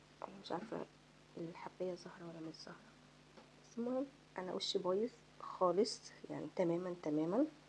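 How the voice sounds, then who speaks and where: With an Egyptian accent, a soft-spoken woman at medium pitch talks at a moderate pace, showing ordinary pitch variation, big swings in loudness, and long, frequent pauses. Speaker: beauty vlogger. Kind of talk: makeup tutorial. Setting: home at night. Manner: casual.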